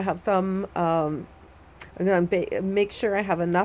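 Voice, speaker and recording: In an unremarkable speaking voice, a woman talks at a fairly slow pace with medium pitch and fairly even intonation. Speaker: grandmother and cake maker / crafter. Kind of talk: casual talk to camera, vlog. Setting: outdoors on a deck, rain falling.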